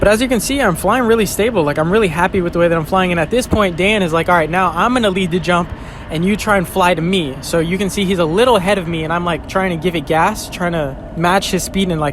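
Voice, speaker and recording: A man talks at a very fast pace with a high pitch and ordinary pitch variation. Noticeable background noise runs underneath. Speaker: wingsuit skydiver and vlogger. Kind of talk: video voiceover commentary. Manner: animated.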